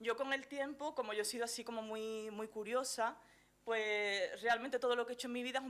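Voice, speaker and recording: A woman at a fairly high pitch, moderate in pace, with fairly even intonation. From Andalusia, Chiclana de la Frontera (Cádiz). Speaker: journalist and gender specialist. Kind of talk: conference talk. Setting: lecture hall stage with audience. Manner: hesitant, many fillers.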